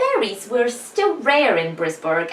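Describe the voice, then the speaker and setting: The pitch swings very widely at a moderate pace. Background noise is noticeable throughout. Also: woman. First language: not English. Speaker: author vlogger. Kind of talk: reading aloud own fiction.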